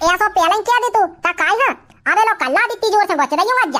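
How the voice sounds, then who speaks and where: A squeaky, cartoonish character voice races at a very fast pace with very even loudness. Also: woman, extremely high pitch for a woman, lively intonation. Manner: loud, bickering.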